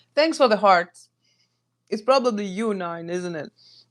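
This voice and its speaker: A woman with a Greek accent speaks at a moderate pace in a medium pitch with ordinary pitch variation, on a very clean recording with a silent background. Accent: Greek accent, persistent. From Greece. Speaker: home cook streamer. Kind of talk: live cooking stream chat. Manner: casual, chatty.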